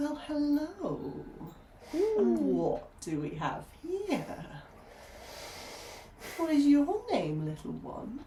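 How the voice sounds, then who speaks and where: In a put-on character voice pitched high, a woman speaks very slowly with long, frequent pauses. Background noise is clearly audible. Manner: seductive, menacing.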